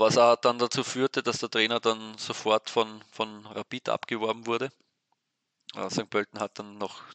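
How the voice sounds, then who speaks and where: Monotone, flat intonation marks a man's medium-pitched voice at a moderate pace. The sound is dry and close with no echo. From Austria, Weinviertel (Lower Austria). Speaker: sports newspaper editor. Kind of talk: interview. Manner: halting, many repetitions.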